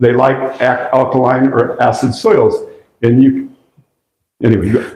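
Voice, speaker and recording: Audible room echo surrounds a man's voice. He keeps a moderate pace and very even loudness. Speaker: agroforestry presenter. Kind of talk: lecture.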